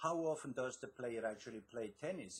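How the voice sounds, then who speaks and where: With a slight Swiss accent, a man speaks at a moderate pace and medium pitch, his somewhat breathy voice carrying lively intonation. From Switzerland. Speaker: author and success coach. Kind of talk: interview.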